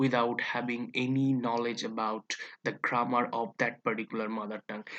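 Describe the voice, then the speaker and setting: The speaker has a Bengali accent. The background is quiet. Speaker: English teacher. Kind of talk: tutorial. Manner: halting, with frequent fillers and self-corrections.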